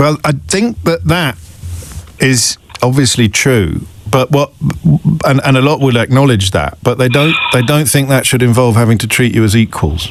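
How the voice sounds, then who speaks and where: A man talks at a moderate pace with very even loudness, against noticeable background noise. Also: medium pitch for a man, lively intonation. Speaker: radio phone-in host. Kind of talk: radio phone-in talk.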